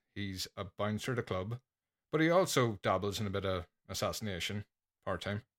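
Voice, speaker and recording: A man with an Irish accent speaks at a fairly quick pace and a medium pitch. The recording is very clean and dry, close with no echo, over a silent background. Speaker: podcaster. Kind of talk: casual chat.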